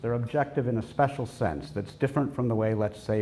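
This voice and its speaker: A somewhat breathy, fairly low male voice with a dark, mellow tone and an American accent. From United States. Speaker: professor. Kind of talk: lecture.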